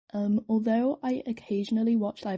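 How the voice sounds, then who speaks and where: Recorded with a dry, close sound, no echo and a quiet background, a woman with a British accent speaks in a dark, mellow, somewhat breathy tone at a fairly high pitch with fairly even intonation. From Britain. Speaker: artist and new video maker. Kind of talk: casual commentary over drawing. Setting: at home by a window. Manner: rambling, hesitant with many fillers.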